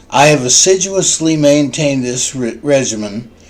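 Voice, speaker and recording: There is audible room echo as a man talks at a fairly slow pace and a medium pitch. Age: 60s. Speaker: social work student. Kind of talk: class introduction video. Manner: formal.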